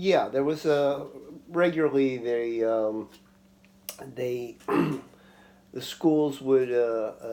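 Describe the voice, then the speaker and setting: A man talks in a dark, mellow tone with an American accent. His pitch varies in an ordinary way. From New York, Long Island. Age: 60s. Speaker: interviewee, father. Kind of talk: interview. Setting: home kitchen. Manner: halting, many fillers.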